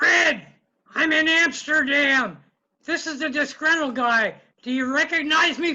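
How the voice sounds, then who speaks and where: A put-on character voice moves at a fairly slow pace. Its pitch is high. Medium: comedy sketch. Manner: disgruntled.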